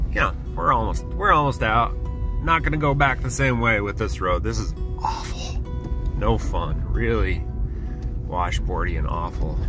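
A man talks at a moderate pace, stopping often for long pauses. Clear music plays in the background, and the sound is dry with no echo. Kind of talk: casual vlog chat. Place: car. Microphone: phone near.

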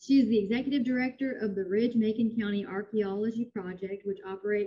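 A woman talks at a fairly quick pace with a fairly high pitch. Her voice is somewhat breathy, and the background is quiet. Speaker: library director. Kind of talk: formal introduction and Q&A moderation. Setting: video call. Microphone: video call.

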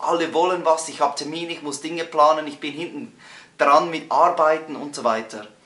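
Audible room echo surrounds the voice. The speaker is a man. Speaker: coach or presenter. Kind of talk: motivational tutorial talk. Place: home room.

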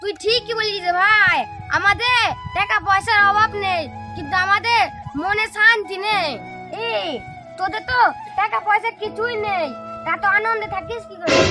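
A woman uses a put-on character voice at a moderate pace. Clear music plays in the background. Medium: comedy sketch. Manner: touchy, haughty.

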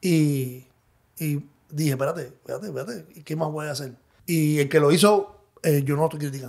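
Fairly quick in pace, an unremarkable speaking voice moves with ordinary pitch variation. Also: man, fairly high pitch for a man. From Cuba. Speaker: DJ and music producer. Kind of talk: interview.

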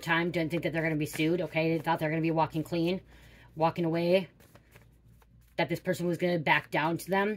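A woman's fairly low voice at a very fast pace. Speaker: card reader. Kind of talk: tarot reading to viewers. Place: home room. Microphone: phone near.

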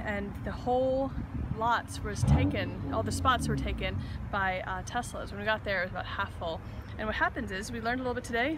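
A woman is speaking over loud background noise. The sound is dry with no echo. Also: fairly quick pace. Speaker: travel vlogger. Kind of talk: casual vlog chat. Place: street. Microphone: phone near.

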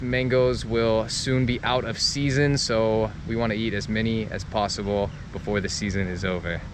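Noticeable background noise accompanies a man's voice. The sound is dry with no echo. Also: hardly any pauses. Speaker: travel vlogger. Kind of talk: casual vlog chat. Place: garden. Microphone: phone near.

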